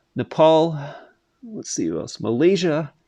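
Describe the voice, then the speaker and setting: A man speaks with lively intonation. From Canada. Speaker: gaming streamer. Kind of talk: casual live stream chat. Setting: live stream.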